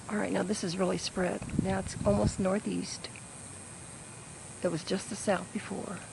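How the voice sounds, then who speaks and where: Speech moves at a moderate pace with long, frequent pauses against noticeable background noise. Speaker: amateur storm videographer. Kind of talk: live commentary. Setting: outdoors. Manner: animated.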